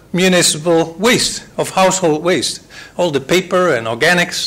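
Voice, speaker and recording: Noticeable background noise and audible room echo. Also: man. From Netherlands. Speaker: water management expert. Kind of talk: conference presentation.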